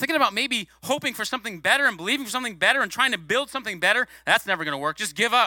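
A man with an extremely high pitch talks very fast in a raised, projected voice, his tone animated, bright and sharp, with hardly any pauses and a dry, close sound with no echo. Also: lively intonation. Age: 40s. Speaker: guest preacher, former youth pastor. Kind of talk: sermon. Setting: church.

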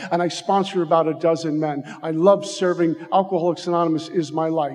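Over noticeable background noise, a high-pitched man speaks with a New York accent. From Brooklyn, New York. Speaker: recovery speaker. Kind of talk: recovery testimony. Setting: stage with audience. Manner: animated.

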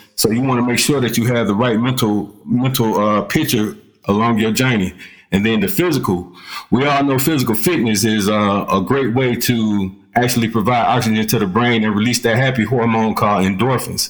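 In an American accent, a man with a plain, everyday voice speaks at medium pitch and a moderate pace, with ordinary pitch variation and very even loudness. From US South, Columbus, Georgia. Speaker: retired army sergeant, author and speaker. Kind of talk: interview.

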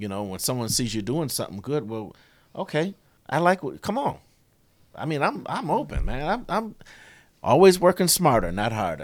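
With an American accent and vocal fry, a man talks at a moderate pace and a fairly high pitch, swinging very widely in pitch and leaving long, frequent pauses. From Rochester, New York. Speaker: auto worker and union volunteer. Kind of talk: casual interview.

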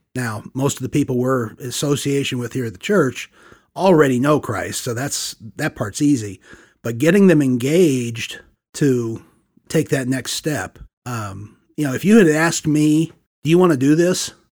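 A normal speaking voice with an American accent, lively intonation and a moderate pace, on a very clean recording with a silent background. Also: man, fairly high pitch for a man. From US Midwest, Saint Louis. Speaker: church discipleship leader. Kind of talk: interview testimony.

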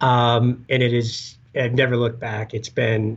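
Somewhat breathy, a man with an American accent speaks at medium pitch and a moderate pace over a quiet background. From Upper Peninsula of Michigan. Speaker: conservation organization staffer. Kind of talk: interview.

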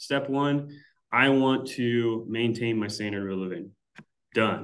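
A man speaks amid audible room echo. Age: 30s. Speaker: financial planner. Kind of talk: interview explainer. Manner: hesitant, many fillers.

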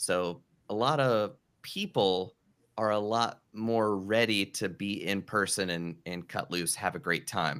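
A man with an American accent speaks slowly at a fairly low pitch, with ordinary pitch variation, in an unremarkable speaking voice. The recording is very clean, with a silent background. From North Carolina mountains, US. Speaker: podcast coach and performer. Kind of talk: casual interview chat.

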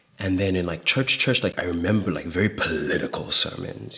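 A man speaks at a moderate pace with a very deep, low pitch. Noticeable background noise runs behind him. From South Africa, Gauteng East Rand. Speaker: performance artist. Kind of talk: interview.

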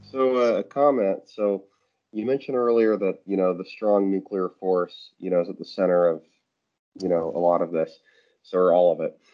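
A man talks at a moderate pace and a fairly low pitch, with ordinary pitch variation and an ordinary speaking voice. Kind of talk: casual chat. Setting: phone call.

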